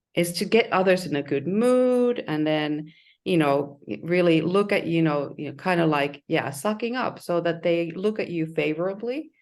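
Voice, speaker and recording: A woman with a non-native accent speaks at a moderate pace with a fairly low pitch and lively intonation. The background is quiet. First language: not English. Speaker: leadership coach. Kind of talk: webinar presentation. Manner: halting.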